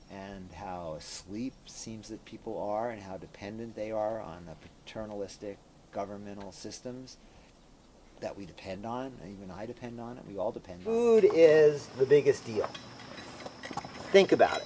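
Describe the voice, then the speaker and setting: Noticeable background noise sits behind a man speaking at a moderate pace and medium pitch, with ordinary pitch variation and big swings in loudness. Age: 60s. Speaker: farmer. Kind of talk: interview. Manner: halting.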